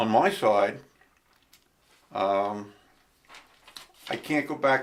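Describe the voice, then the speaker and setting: A man of medium pitch talks with an American accent. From Long Island, New York. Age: 70s. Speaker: local history enthusiast. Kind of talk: oral history interview.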